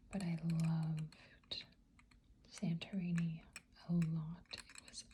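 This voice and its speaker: This soft-spoken voice comes with long, frequent pauses. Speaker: ASMR artist and hypnotherapist. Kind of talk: ASMR soft-spoken product review.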